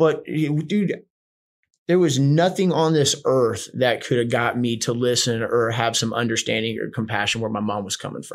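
A man with an American accent and an unremarkable speaking voice, lively intonation, a fairly slow pace, and a very clean recording with a silent background. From Houston, Texas (born West Virginia). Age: 30s. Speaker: boxing coach and gym owner in addiction recovery. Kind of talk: casual interview, personal testimony.

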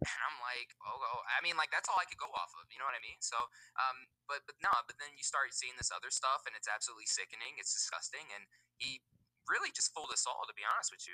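Speaking at a very fast pace with big swings in loudness, a man with an American accent comes through in a dry, close sound with no echo. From US West (Nevada). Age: 20s. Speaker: motorsports YouTuber. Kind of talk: casual interview. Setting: online call.

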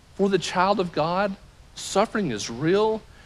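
A man speaks with a Southern US accent. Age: 40s. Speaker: pastor. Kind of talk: sermon. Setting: church.

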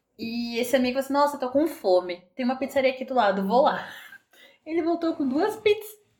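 A woman speaks in a high voice at a fairly quick pace. Her pitch swings very widely. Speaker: podcast co-host. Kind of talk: casual chat. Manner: frequent laughter.

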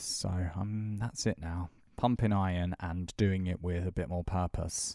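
With a British accent and a dark, mellow tone, a man speaks in a very clean recording over a silent background. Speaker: podcast co-host. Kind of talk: casual chat.

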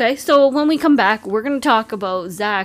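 The woman speaks with ordinary variation in her pitch.

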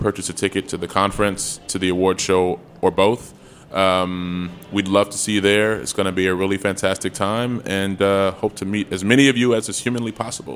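A man's plain, everyday voice with an American accent, fairly low in pitch, at a fairly quick pace with fairly even intonation. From Chicago. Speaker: nonprofit executive director. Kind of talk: casual interview.

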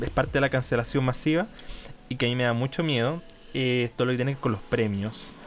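A man with a Chilean accent, medium pitch, and fairly even intonation, amid noticeable background noise. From Chile, Portezuelo near Chillán. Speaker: podcast co-host. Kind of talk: casual chat. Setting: remote recording.

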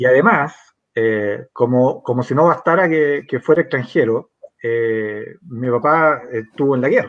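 At a fairly slow pace, a man talks in an unremarkable speaking voice with a medium pitch and ordinary pitch variation. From Chile, San Miguel (Santiago). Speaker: pollster and academic. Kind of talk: political interview.

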